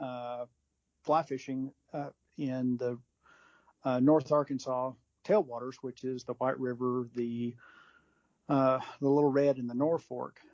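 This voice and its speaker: A man speaks at a medium pitch and a fairly slow pace, his intonation flat and monotone. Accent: Texan. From West Texas. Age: 50s. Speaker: fly fishing industry executive. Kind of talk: casual interview.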